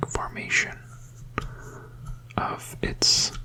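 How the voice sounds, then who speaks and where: A whispering voice with a gentle tone comes through noticeable background noise. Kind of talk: ASMR sleep hypnosis, gentle whispered talk while showing objects. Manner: gentle, whispering, slow.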